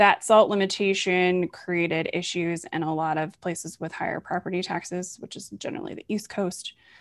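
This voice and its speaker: A plain, everyday voice from a woman at medium pitch and moderate pace, on a very clean recording with a silent background. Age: 40s. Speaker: podcast host. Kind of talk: interview.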